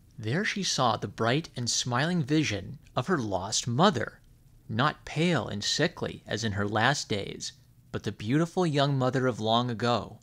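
Heard on a very clean recording with a silent background, a man at a medium pitch uses lively intonation in an unremarkable speaking voice. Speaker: storyteller reading a fairy tale aloud on a gaming channel. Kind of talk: bedtime story reading aloud, scripted narration of a public-domain fairy tale. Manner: gentle, soothing, measured storyteller pacing.

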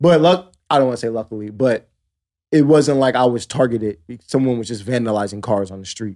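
Dark, mellow tone from a man at medium pitch, fairly quick pace, big swings in loudness and ordinary pitch variation against a quiet background. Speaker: DJ; podcast co-host. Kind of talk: casual chat. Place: studio. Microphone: studio mic.

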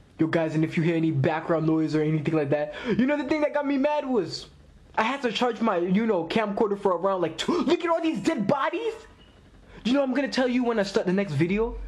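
A man's very fast speech with very wide pitch swings. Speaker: anime reactor. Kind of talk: casual reaction commentary. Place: home room. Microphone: phone near.

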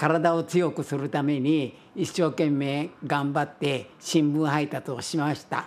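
Very slow in pace, this man talks. His intonation is monotone and flat. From Japan. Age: 90s. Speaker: museum director and collector, war survivor; witness. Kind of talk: interview testimony. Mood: earnest, reflective.

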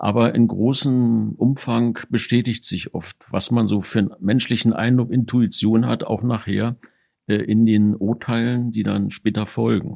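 In a dark, mellow tone, a man speaks at a fairly slow pace with monotone, flat intonation. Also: medium pitch for a man. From Berlin, Germany. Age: 60s. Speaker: retired investigating judge. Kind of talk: interview recollection. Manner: formal.

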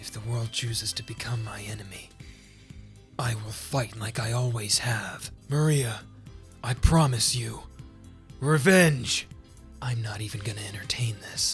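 Over clear background music, a man in a put-on character voice speaks at a moderate pace and medium pitch, his tone intense and serious, with long, frequent pauses. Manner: cold, intense, serious.

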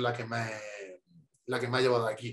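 A man does the talking. Behind him, the background is quiet. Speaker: interview guest. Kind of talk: interview answer. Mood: calm, reflective. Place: home room. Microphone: video call.

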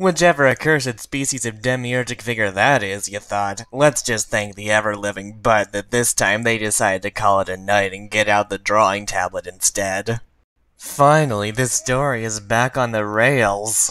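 A man puts on a character voice, pitched medium and delivered at a moderate pace. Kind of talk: comic dub reading. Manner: deadpan.

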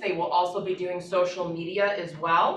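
A woman with audible room echo. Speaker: real estate agent. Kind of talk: team meeting discussion. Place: meeting room. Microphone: camera far.

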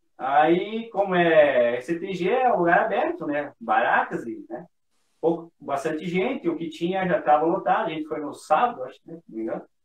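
A man with a high pitch at a moderate pace, amid audible room echo. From Southern Brazil. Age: 30s. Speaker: motorcycle traveler. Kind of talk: casual chat. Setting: video call. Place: home room.

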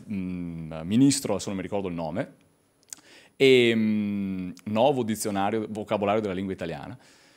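Against a quiet background, a man with a plain, everyday voice speaks with ordinary pitch variation. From Veneto. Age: 30s. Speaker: lecturer on Venetian language. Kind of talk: lecture. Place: hall. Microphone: podium.

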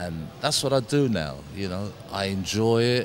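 The sound is dry with no echo, though noticeable background noise comes through. A man speaks at a fairly slow pace, his pitch swinging very widely. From Caribbean. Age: 60s. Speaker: former boxing champion and boxing coach. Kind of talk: interview answer. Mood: warm, reflective. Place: gym. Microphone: handheld.

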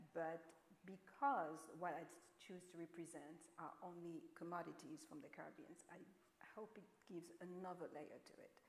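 Amid audible room echo, a woman with a French accent speaks at a moderate pace with long, frequent pauses, a fairly low pitch, ordinary pitch variation and big swings in loudness. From France. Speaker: painter; panelist. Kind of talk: panel discussion. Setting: stage with audience. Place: hall.

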